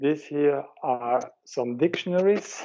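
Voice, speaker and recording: A man in a German accent speaks at a very slow pace. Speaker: head of a religious organization. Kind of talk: interview, giving a video tour.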